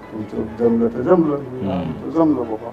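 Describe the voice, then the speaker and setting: A man with a medium-pitched voice can be heard against music in the background. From rural Maharashtra, India. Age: old. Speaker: knee replacement patient. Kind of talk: interview answer.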